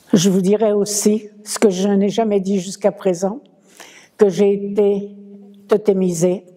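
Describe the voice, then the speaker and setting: A woman's very slow, monotone, flat delivery, broken by long, frequent pauses, over noticeable background noise. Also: medium pitch for a woman. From France, Paris. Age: 90s. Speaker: war-era witness, former scout. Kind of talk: testimony.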